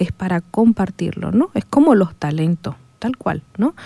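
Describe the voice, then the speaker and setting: A woman speaks at a medium pitch with a dark, mellow tone, recorded dry and close with no echo. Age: 40s. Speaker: psychologist, university program director. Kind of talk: radio interview. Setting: radio studio.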